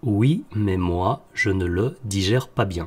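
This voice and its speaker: Somewhat breathy and fairly low, a man's voice moves with lively intonation. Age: 30s. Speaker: health podcaster. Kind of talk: solo podcast monologue. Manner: hesitant, many fillers.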